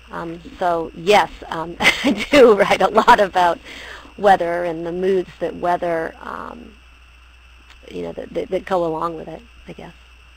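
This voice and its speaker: A woman with a normal speaking voice and an American accent talks at a fairly slow pace with fairly low pitch. She has ordinary pitch variation and big swings in loudness. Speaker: poet. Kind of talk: interview.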